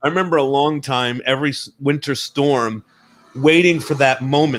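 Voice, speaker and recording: A man speaks in a bright, sharp tone. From New Jersey, Italian-American. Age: 30s. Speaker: filmmaker and podcaster. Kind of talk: casual interview chat.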